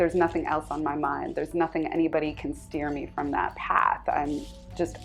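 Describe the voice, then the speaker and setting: A Californian accent, with music in the background. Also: woman. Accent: Californian American English. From Southern California, USA. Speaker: scholar, journalist. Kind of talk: interview answer.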